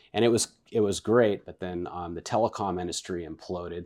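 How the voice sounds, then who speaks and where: Speaking at a fairly quick pace with ordinary pitch variation, a man with an American accent and a very deep, low pitch comes through on a very clean recording with a silent background. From northern California, Vacaville. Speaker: real estate agent. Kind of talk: casual interview.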